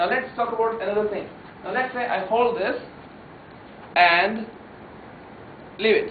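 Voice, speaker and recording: A man with a Telugu accent speaks at a high pitch and a moderate pace, leaving long, frequent pauses. Audible room echo and noticeable background noise fill the recording. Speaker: memory trainer. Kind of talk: workshop lecture. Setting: room with live audience. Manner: animated.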